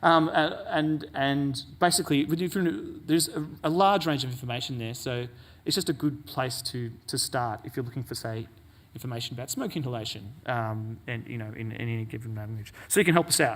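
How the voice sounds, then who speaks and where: Audible room echo surrounds the voice. It moves at a fairly quick pace with ordinary pitch variation. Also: man, medium pitch for a man. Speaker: conference presenter. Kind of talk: conference talk. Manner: fast; hesitant, many fillers.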